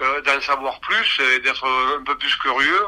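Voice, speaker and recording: Noticeable background noise is present. A man speaks very slowly over it. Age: 60s. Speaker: union and consumer association activist. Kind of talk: interview. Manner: halting.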